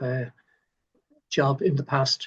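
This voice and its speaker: A man talks in an Irish accent with a somewhat breathy voice. His intonation is monotone and flat. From Ireland. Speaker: doctor. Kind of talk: interview. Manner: halting, many fillers and repeats.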